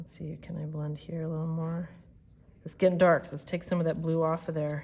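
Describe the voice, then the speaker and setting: A woman's somewhat breathy, dark, mellow tone with fairly even intonation. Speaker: art teacher. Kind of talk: tutorial. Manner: casual and chatty; briefly whispering.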